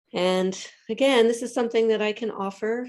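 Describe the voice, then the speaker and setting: A woman speaks at a moderate pace with an American accent and ordinary pitch variation. Hers is a plain, everyday voice. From US Northeast, Philadelphia. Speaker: acupuncturist. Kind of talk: community talk, Q&A.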